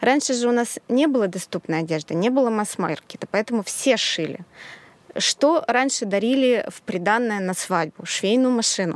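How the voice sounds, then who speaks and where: An unremarkable speaking voice from a woman, fairly high in pitch, at a moderate pace with lively intonation. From Russia, outside Saint Petersburg. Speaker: sewing school founder and pattern designer. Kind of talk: casual chat.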